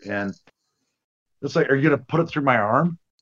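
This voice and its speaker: With a plain, everyday voice, a man at a fairly high pitch speaks with ordinary pitch variation. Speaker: podcast co-host. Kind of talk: casual chat about a horror film. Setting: video call.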